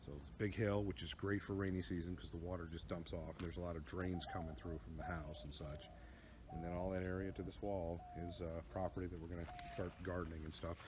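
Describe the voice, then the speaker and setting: A man talks at a very fast pace in a very deep, low voice. His pitch variation is ordinary, and there is noticeable background noise. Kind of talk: casual vlog chat. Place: garden. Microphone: phone near.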